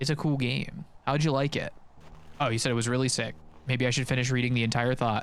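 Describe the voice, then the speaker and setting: Talking at a very fast pace broken by long, frequent pauses, a man keeps his loudness very even and his intonation fairly even. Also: medium pitch for a man. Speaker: video game speedrunner streamer. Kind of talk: casual live-stream chat while playing. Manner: quieter and calmer than usual; too loud.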